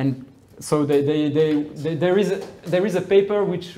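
A man's fairly high-pitched voice has a dark, mellow tone. His intonation stays fairly even. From Brazil. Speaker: researcher; lecturer. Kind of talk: lecture. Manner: halting. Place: classroom. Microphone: camera far.

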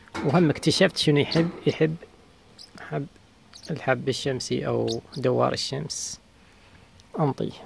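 A man speaks at a very slow pace, leaving long, frequent pauses. The sound is dry with no echo, and light background noise is present. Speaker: bird keeper. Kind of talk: tutorial. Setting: outdoors in garden. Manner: soft-spoken, calm. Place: garden. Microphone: phone near.

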